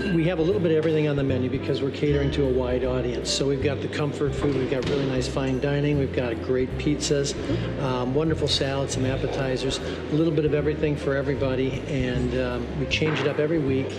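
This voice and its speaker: Music plays in the background as a man talks at a very fast pace with hardly any pauses. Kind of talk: interview answer. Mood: friendly, proud. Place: cafe.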